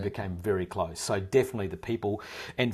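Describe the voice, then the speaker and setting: Somewhat breathy and fairly low in pitch, a man talks at a fairly quick pace in a New Zealand accent. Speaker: actor. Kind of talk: interview answer. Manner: casual, conversational.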